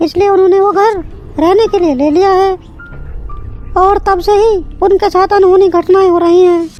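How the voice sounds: A woman's cartoonish character voice at an extremely high pitch, fairly quick in pace, over clear music in the background.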